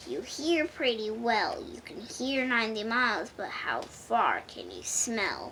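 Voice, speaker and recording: A woman uses a gruff, growling put-on character voice at a fairly high pitch. She speaks at a fairly slow pace with hardly any pauses over clear background noise. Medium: read story. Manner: sneering, bragging.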